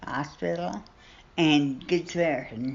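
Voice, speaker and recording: A woman with an American accent. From Southern Illinois and Southern Indiana. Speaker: retired nurse. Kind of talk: interview answer.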